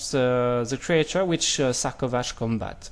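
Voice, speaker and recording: A man talks with a French accent. His pace is fairly slow. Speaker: card game youtuber. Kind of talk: unboxing commentary. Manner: halting, many fillers.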